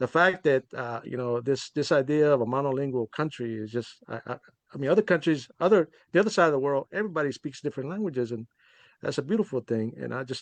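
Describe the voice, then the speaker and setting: A man talks at a very fast pace with a fairly high pitch and lively intonation. The sound is dry and close with no echo, over a quiet background. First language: Spanish. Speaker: poet. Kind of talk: casual chat. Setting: video call. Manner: halting, many repetitions and fillers.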